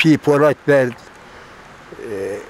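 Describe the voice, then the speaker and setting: Over noticeable background noise, a man with a fairly high voice speaks very slowly with ordinary pitch variation. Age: 80s+. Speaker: elderly villager recounting oral history. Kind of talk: interview.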